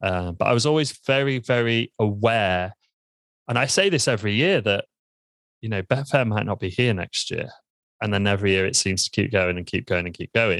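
In a very clean recording with a silent background and a dry, close sound with no echo, a man with an East Midlands accent talks fairly quickly at a fairly low pitch with ordinary pitch variation. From Lincoln, England. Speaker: membership business founder. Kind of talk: interview.

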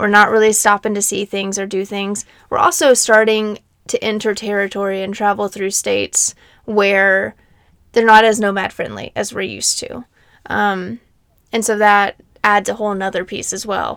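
On a very clean recording with a silent background, a woman with an American accent speaks at a moderate pace in a medium-pitched, monotone, flat voice. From US South, Nashville, Tennessee. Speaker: podcast co-host, van lifer. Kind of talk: casual chat.

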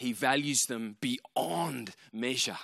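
A bright, sharp tone comes through with an Australian accent on a very clean recording with a silent background. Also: man. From Australia, Canberra. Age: 30s. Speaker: preacher. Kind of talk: sermon.

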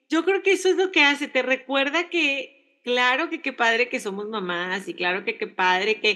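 Over a quiet background, a high-pitched woman speaks in a raised, projected voice with a bright, sharp tone, very wide pitch swings, a moderate pace and hardly any pauses. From Mexico. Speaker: podcast co-host. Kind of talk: casual chat.

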